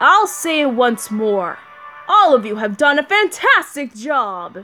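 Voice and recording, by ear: Faint music plays behind a put-on character voice that sounds female, high-pitched for a woman and fairly slow, swinging very widely in pitch.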